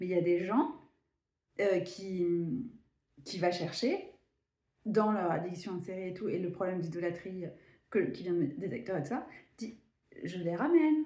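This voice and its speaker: In a room with audible echo, a woman with a dark, mellow, somewhat breathy tone speaks at a moderate pace with lively intonation and long, frequent pauses. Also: medium pitch for a woman. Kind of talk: casual spiritual vlog monologue. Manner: animated.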